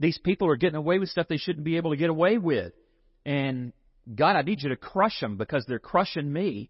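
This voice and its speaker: A man speaks with lively intonation. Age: 50s. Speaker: preacher. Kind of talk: sermon.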